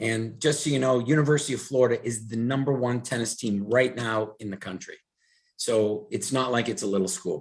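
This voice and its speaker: A man with a somewhat breathy, medium-pitched voice talks at a moderate pace, his pitch varying in an ordinary way. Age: 60s. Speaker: wellness product presenter. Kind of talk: online presentation. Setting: video call. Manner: animated.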